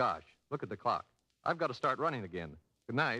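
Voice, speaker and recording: This man speaks at a very fast pace in a bright, sharp tone. Vocal fry runs through his voice. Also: dry, close sound with no echo. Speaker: animated film producer. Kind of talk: radio interview answer. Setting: old radio broadcast.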